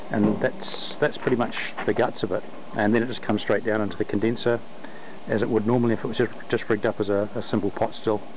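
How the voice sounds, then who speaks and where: A man talks at a very fast pace in a monotone, flat intonation, the sound dry with no echo and noticeable background noise behind him. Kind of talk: tutorial. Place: open country. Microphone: phone near.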